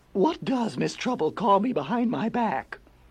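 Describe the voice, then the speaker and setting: A man puts on a character voice, high in pitch with very wide pitch swings. He speaks at a moderate pace. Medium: read story.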